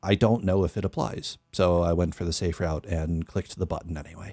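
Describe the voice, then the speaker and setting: A man speaks at a moderate pace in a dark, mellow tone. The sound is dry with no echo, and the background is quiet. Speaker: musician and streamer; streamer. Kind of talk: casual livestream chat while producing music. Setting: live stream. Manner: speaks a bit higher than natural.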